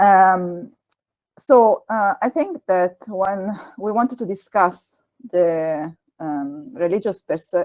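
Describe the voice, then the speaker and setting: A woman with an Italian accent speaks at a medium pitch with lively intonation. Her voice sounds dry and close, with no echo. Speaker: Islamic lecturer. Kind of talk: lecture.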